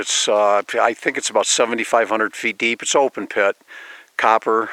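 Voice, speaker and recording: A man talks at a fairly quick pace, the sound dry and close with no echo. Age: 60s. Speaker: vlogger. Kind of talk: casual monologue vlog. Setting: outdoors on a mountain road. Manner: hesitant, many repetitions and fillers.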